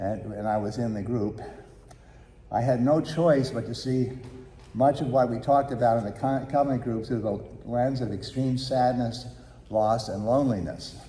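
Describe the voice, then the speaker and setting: There is audible room echo as a man speaks at medium pitch and a moderate pace. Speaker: congregation member giving announcements. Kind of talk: church announcement and testimonial.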